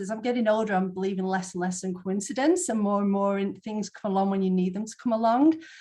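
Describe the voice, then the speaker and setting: Somewhat breathy, a woman's voice sits at a medium pitch with ordinary pitch variation. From northern England, near Manchester. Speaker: Bowen therapist. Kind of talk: interview.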